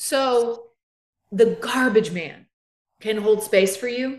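A woman with a Southern US accent speaks at a very slow pace with ordinary pitch variation, against a quiet background with audible room echo. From US South. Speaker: therapist, podcast co-host; podcast co-host. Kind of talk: casual chat. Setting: live stream. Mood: earnest, reflective. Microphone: video call.

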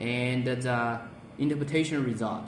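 Light background noise mixes with audible room echo in this clip. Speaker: product demonstrator. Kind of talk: tutorial. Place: office. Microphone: phone near.

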